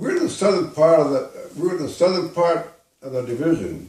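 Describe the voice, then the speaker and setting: This man's fairly high voice carries lively intonation and vocal fry at a moderate pace. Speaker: war veteran. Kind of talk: interview answer.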